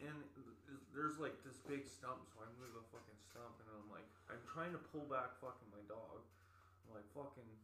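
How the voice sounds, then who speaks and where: A man's voice has a bright, sharp tone and ordinary pitch variation. His loudness swings widely, and room echo is audible. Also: medium pitch for a man, moderate pace. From Winnipeg, Canada. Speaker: podcast guest. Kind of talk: casual chat.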